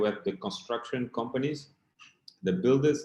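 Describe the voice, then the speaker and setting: A man speaks with a Portuguese accent. His intonation is lively. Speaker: keynote speaker. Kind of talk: conference keynote.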